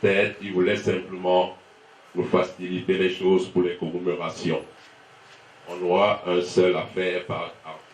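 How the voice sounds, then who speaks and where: Very deep and low, a man's voice moves at a fairly slow pace with long, frequent pauses, flat monotone intonation and big swings in loudness, with audible room echo. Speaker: son of the deceased giving thanks. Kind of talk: funeral speech.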